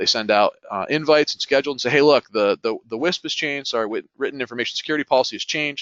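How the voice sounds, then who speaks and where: A man speaks at a very fast pace. His medium-pitched voice shows ordinary pitch variation. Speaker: IT consultant. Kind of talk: webinar panel talk. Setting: webinar. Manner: animated.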